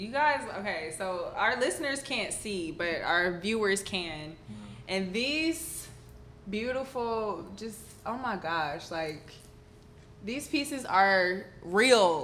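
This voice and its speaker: Her medium-pitched voice moves at a very slow pace with very wide pitch swings and big swings in loudness, and audible room echo surrounds the woman. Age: 20s. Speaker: podcast host. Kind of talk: casual chat. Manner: animated.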